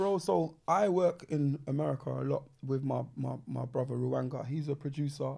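Speaking at a moderate pace with hardly any pauses, a man talks in a South London accent. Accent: South London, Multicultural London English. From London, Peckham. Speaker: MC, grime pioneer; MC. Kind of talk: casual chat. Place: studio. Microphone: studio mic.

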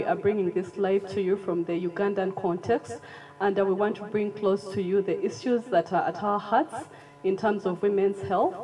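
Faint music sits in the background as a woman speaks with very even loudness. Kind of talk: press conference opening remarks. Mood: earnest, formal. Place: hall. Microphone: handheld.

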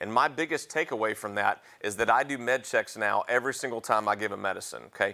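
A man speaks at a fairly quick pace in a bright, sharp tone. The background is quiet. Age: 40s. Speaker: paramedic educator. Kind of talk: lecture. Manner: halting. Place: classroom.

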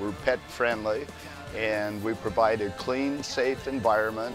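Clear music plays in the background as a man speaks at a moderate pace with ordinary pitch variation. The sound is dry with no echo. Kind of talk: interview answer. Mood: relaxed, enthusiastic. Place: shop.

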